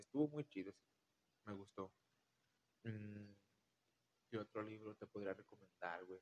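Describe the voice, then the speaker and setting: The speaker goes at a fairly slow pace with long, frequent pauses, ordinary pitch variation and big swings in loudness. The sound is dry and close, with no echo. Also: man, fairly low pitch for a man. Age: 20s. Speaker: podcast guest, friend of host. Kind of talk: casual chat.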